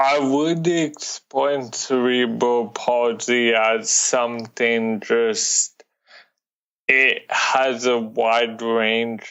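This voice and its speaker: With an American accent, a man talks at a very slow pace in a medium pitch, his intonation fairly even and his loudness very even. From California. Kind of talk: interview.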